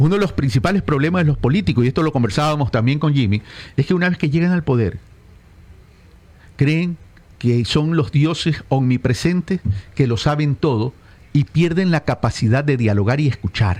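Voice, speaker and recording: A man's fairly high, somewhat breathy voice with lively intonation, very even loudness, and long, frequent pauses. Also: moderate pace. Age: 60s. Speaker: political consultant. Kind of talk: radio interview. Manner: animated.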